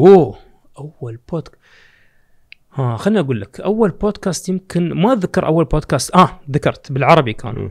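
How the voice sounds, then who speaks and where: A fairly high-pitched man's voice at a moderate pace, with very wide pitch swings and big swings in loudness, over a quiet background. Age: young. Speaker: podcaster and marketing executive; podcaster. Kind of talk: casual chat. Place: studio. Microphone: studio mic.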